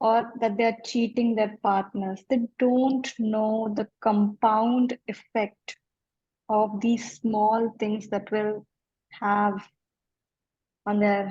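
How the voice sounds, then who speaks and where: Very slow and monotone, a woman speaks in a fairly high pitch with flat intonation, very even loudness and a dark, mellow, somewhat breathy tone, in a dry, close sound with no echo. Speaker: life coach. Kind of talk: interview.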